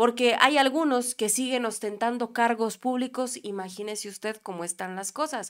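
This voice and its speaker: At a fairly quick pace and high pitch, a woman speaks with ordinary pitch variation against a quiet background. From Mexico. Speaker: political commentary youtuber. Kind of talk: political news commentary. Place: studio. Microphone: studio mic.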